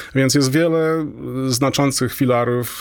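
The voice belongs to a man. He keeps a fairly even intonation. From Poland, Toruń. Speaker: astronomy professor. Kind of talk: interview. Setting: radio studio. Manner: halting.

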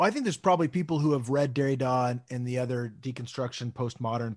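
Delivered at a very fast pace with an American accent, the speech sits on a very clean recording with a silent background. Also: man. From Texas. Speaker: podcast co-host. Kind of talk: casual conversation podcast. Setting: home recording in apartment.

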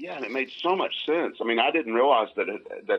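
A man talks with a Southern US accent. His pace is fairly quick. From US South. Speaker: comedian's father. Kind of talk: casual chat. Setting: phone call.

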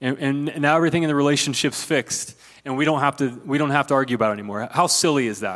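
This man has an American accent and a fairly high pitch. He speaks at a very fast pace. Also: ordinary pitch variation. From US Midwest, rural Ohio. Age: 40s. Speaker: pastor. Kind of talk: sermon. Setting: church.

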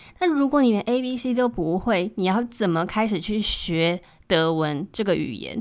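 With lively intonation, a woman talks at a moderate pace in an ordinary speaking voice of medium pitch, on a very clean recording with a silent background. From Taiwan. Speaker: podcast host. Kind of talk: casual monologue.

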